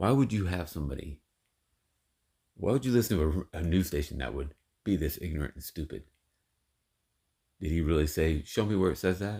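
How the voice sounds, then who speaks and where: A man with a very deep, low pitch and a dark, mellow, somewhat breathy tone speaks at a fairly quick pace with lively intonation and long, frequent pauses. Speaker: online commentator. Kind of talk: video commentary rant. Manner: emphatic.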